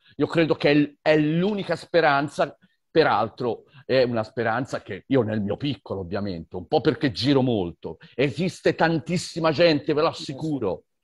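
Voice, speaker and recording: Lively intonation and vocal fry over a quiet background. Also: man, fairly high pitch for a man, moderate pace. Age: 60s. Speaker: environmental activist and teacher. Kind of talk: online conversation. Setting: video call.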